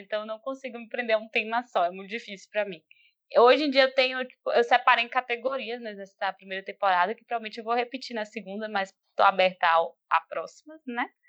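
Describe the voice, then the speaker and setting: A woman speaks at a fairly quick pace in a high pitch with ordinary pitch variation. Her loudness swings widely. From Bahia, Brazil (Feira de Santana). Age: 20s. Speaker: podcast host and graphic designer. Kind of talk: casual interview.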